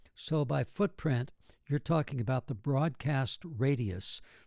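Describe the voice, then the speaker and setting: Medium-pitched, somewhat breathy male voice at a fairly slow pace with ordinary pitch variation, on a very clean recording with a silent background. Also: very even loudness. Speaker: radio host. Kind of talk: interview.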